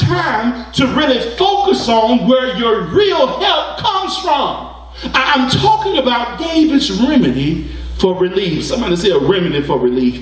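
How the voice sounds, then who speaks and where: A man with an extremely high pitch, at a fairly slow pace, amid audible room echo. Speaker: preacher. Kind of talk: sermon preaching. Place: church.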